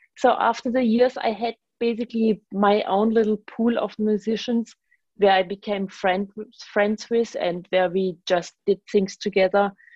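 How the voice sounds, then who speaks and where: Speaking fairly slowly with a German accent, a woman uses a fairly high pitch and fairly even intonation. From Germany. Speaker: bass player and composer. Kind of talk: radio interview conversation.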